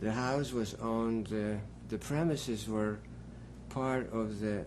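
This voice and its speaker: A man with a fairly low pitch and fairly even intonation, speaking at a fairly slow pace in audible room echo. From Poland. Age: 60s. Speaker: Holocaust survivor. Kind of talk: testimony. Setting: at home.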